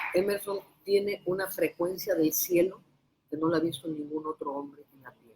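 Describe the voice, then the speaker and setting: With a dark, mellow tone and fairly low pitch, a woman speaks at a moderate pace, her intonation fairly even but her loudness swinging widely. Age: 60s. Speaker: prophet and preacher. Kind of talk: religious interview.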